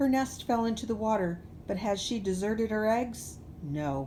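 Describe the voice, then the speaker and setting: A woman's put-on character voice with a fairly high pitch, a moderate pace and clear background noise. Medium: read story. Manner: commanding.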